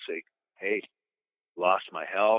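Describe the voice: A man's low-pitched voice, with a dry, close sound and no echo.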